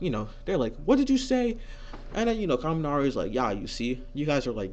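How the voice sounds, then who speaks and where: A man speaks in a fairly high pitch at a fairly quick pace. Room echo is audible. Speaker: fan fiction storyteller. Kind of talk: casual improvised storytelling. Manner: fast; halting, many fillers.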